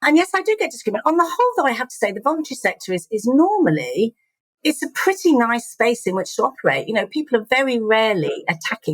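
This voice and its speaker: A woman speaks very fast in an English accent. Her pitch swings very widely. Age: 50s. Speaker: charity chief executive. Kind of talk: interview conversation.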